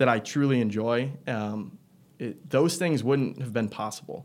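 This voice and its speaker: An ordinary speaking voice from a man with an American accent, at medium pitch with ordinary pitch variation, moderate pace, and a very clean recording with a silent background. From Michigan. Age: 20s. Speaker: door-to-door salesman. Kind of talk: casual interview.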